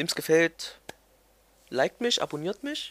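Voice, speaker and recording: A man speaks in a high voice. The sound is dry and close with no echo. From Germany, Thuringia (near Erfurt). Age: 20s. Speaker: gaming YouTuber. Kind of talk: casual vlog monologue. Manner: hesitant, many fillers.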